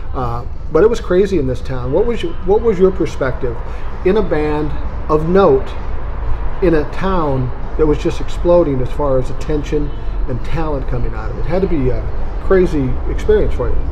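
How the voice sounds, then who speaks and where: A man speaks with an American accent at a moderate pace. Background noise is noticeable. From US Midwest, South Minneapolis. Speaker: interview show host. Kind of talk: casual interview. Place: cafe. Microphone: camera far.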